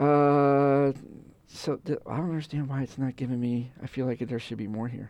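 It is an ordinary speaking voice. The pace is moderate. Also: man, medium pitch for a man, fairly even intonation. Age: 50s. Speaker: golf podcast co-host. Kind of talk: casual chat.

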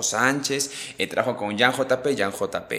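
Noticeable background noise sits behind a man whose medium-pitched voice keeps fairly even intonation. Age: 20s. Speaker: musician. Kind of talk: casual chat.

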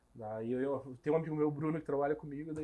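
The background is quiet as a man speaks. His voice is fairly high-pitched, with a dark, mellow tone. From Curitiba, Brazil (moved from Rondônia at about 8). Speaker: graffiti artist. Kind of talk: casual interview chat.

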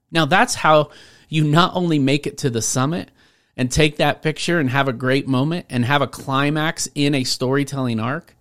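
A man with a plain, everyday voice and an American accent, with a fairly high pitch, at a moderate pace, in a very clean recording with a silent background. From Washington State, US. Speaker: podcast host and speaking coach. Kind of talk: solo podcast monologue.

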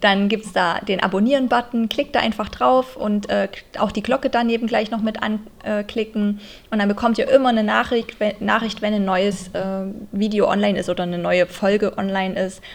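With fairly even intonation, this woman talks at a moderate speed in a fairly high pitch. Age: 30s. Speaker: podcast host and dance teacher. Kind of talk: casual monologue; scripted inspirational narration.

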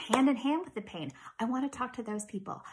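A woman with a Canadian accent speaks with ordinary pitch variation. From small-town Ontario, Canada. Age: 40s. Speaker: podcast host with chronic illness. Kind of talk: casual monologue.

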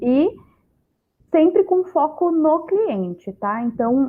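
A woman speaks at a very slow pace. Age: 20s. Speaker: startup mentor and speaker. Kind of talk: panel discussion.

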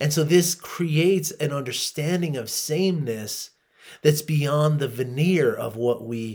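Speaking at a moderate pace, a man with an American accent has a fairly high pitch and ordinary pitch variation. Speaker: podcaster. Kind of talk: solo podcast talk on Buddhism.

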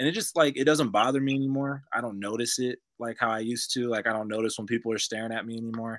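In an American accent, a man with a medium-pitched voice speaks at a very fast pace with hardly any pauses and fairly even intonation on a very clean recording with a silent background. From US, Tulsa, Oklahoma. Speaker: rapper. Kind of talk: casual chat.

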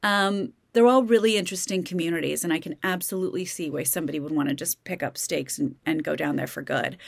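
A woman with an American accent and a fairly low pitch, very fast with hardly any pauses and lively in intonation, on a very clean recording with a silent background. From Kansas. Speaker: podcast host. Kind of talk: casual solo commentary. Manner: conversational, with many fillers.

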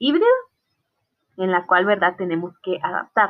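A woman with a Guatemalan accent talks at a medium pitch. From Guatemala, Totonicapán. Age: 20s. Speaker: student. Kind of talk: class presentation.

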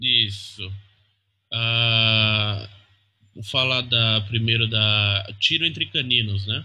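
Speech comes at a very slow pace with long, frequent pauses. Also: man, medium pitch for a man. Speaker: comic letterer. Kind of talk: interview. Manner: halting.

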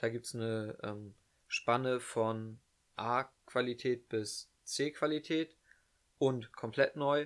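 A man speaks at a very slow pace in a medium pitch. His intonation is fairly even. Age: young. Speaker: podcast co-host, carpentry apprentice. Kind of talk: casual chat. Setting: bedroom at home.

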